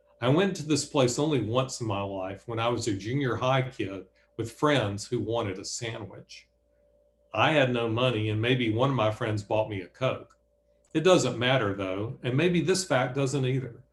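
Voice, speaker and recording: A man with a Southern US accent speaks at a moderate pace in a medium pitch, somewhat breathy, with ordinary pitch variation. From Alabama, Bessemer near Birmingham. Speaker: author and professor. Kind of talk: reading aloud. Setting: video call.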